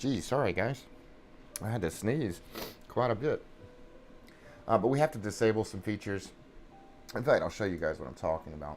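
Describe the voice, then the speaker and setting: A man with a New England accent speaks in a fairly low voice, leaving long, frequent pauses while music plays in the background. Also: lively intonation, fairly quick pace. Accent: Yankee. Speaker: flight sim streamer. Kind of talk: casual live-stream chat. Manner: halting, many fillers.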